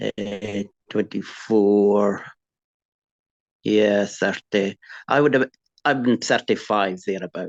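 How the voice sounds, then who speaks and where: A man's fairly low voice at a very slow pace, with long, frequent pauses, fairly even intonation and a dry, close sound with no echo. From Scotland, Aberdeenshire. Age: 60s. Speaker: farmer. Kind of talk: interview testimony. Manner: halting.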